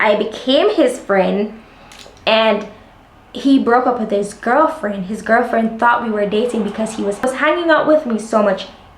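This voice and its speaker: A woman's fairly high-pitched voice with audible room echo and noticeable background noise. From Jamaica. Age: 20s. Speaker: lifestyle vlogger. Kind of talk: casual chat. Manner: animated.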